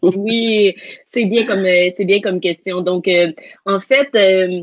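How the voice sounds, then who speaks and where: A very slow pace from a woman, medium in pitch, with fairly even intonation. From Quebec, Canada. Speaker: NLP coach and teacher. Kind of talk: live interview.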